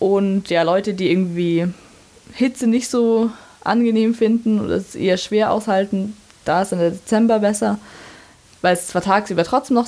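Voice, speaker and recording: A woman speaks at a medium pitch with ordinary pitch variation. Noticeable background noise sits behind her voice. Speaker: university student. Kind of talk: interview.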